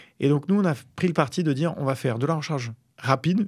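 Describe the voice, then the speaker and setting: A man's voice in a very clean recording, silent background. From Paris region, France. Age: 30s. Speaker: startup founder. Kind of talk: interview. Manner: hesitant, many fillers.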